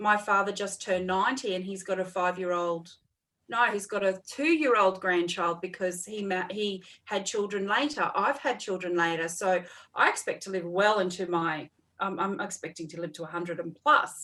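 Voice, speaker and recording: A woman with an Australian accent speaks at a medium pitch. Her tone is bright and sharp, with ordinary pitch variation. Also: moderate pace. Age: 40s. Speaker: counsellor and mentor. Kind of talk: casual chat.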